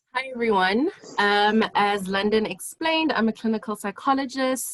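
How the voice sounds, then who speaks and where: A woman with an unremarkable speaking voice talks at a moderate pace with ordinary pitch variation, in a dry, close sound with no echo. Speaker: clinical psychologist. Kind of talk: online seminar presentation.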